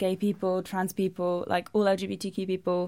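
At a moderate pace, a woman with a London accent speaks at a medium pitch. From London, England (Brazilian-English household). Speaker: novelist. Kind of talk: interview. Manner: casual, lots of filler words.

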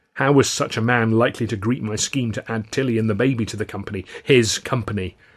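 The voice here reads naturally. That reading voice continues from start to finish.

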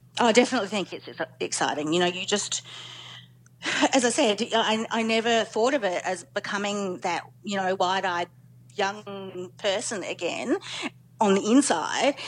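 At a moderate pace with long, frequent pauses, a woman in an Australian accent speaks at medium pitch with ordinary pitch variation. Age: 40s. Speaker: journalist, former lawyer. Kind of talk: personal story interview.

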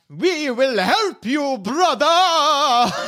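A man uses a put-on character voice. His pitch is extremely high. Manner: loud, friendly, heroic.

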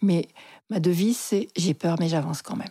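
At a moderate pace, a woman's medium-pitched, somewhat breathy voice with a dark, mellow tone and ordinary pitch variation sounds dry and close with no echo, on a very clean recording with a silent background. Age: 60s. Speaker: psychotherapist. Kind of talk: personal storytelling interview.

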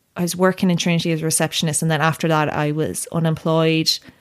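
The speech moves at a fairly quick pace with a monotone, flat intonation. The recording is very clean, with a silent background. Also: woman. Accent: Tipperary. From Ireland, County Tipperary. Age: 20s. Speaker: journalist. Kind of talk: casual chat. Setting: studio.

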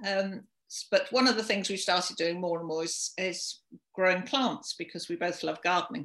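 At a moderate pace, a woman with a southern English accent speaks at a medium pitch with ordinary pitch variation. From London, England. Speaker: charity volunteer organiser. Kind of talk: casual interview.

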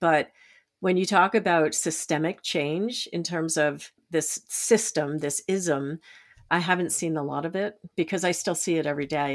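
In an ordinary speaking voice, a woman with fairly low pitch talks at a moderate pace with ordinary pitch variation, on a very clean recording with a silent background. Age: 60s. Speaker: change advocate and storyteller. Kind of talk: interview. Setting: podcast.

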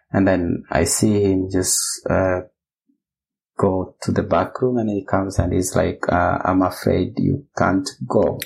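A man speaks fairly slowly at a fairly low pitch. His voice is somewhat breathy, with ordinary pitch variation. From Kenya. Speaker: bioinformatician. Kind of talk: casual interview.

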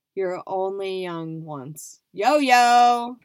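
The recording is very clean, with a silent background. A woman speaks at a medium pitch in an animated tone. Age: 20s. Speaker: podcast host. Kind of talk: casual monologue.

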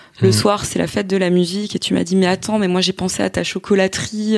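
Here is a woman at a medium pitch. She has a plain, everyday voice. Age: 30s. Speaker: entrepreneur, former journalist. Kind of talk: casual chat.

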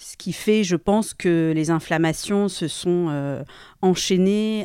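In a very clean recording with a silent background, a woman speaks very slowly in a dark, mellow tone at a fairly low pitch, with ordinary pitch variation. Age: 40s. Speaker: person with hearing loss sharing her story. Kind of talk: personal testimony. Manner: hesitant, with many fillers and repeated words.

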